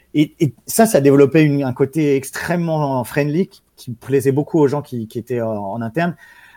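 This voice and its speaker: In a very clean recording with a silent background and a dry, close sound with no echo, a man with a fairly high pitch and a dark, mellow tone speaks with hardly any pauses, big swings in loudness and ordinary pitch variation. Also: moderate pace. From France, small town. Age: 30s. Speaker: esports team manager and entrepreneur. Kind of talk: casual interview. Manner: halting with many repetitions.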